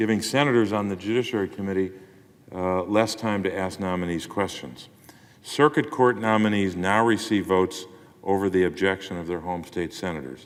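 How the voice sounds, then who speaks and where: An unremarkable speaking voice with an American accent, ordinary pitch variation and a moderate pace. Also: man, fairly low pitch for a man. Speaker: U.S. senator. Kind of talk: Senate floor speech.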